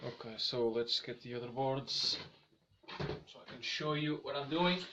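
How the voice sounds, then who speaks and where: Long, frequent pauses break up speech at a fairly slow pace. Noticeable background noise is present. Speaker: electronics hobbyist. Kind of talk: live-stream tutorial. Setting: live stream. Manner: casual, halting.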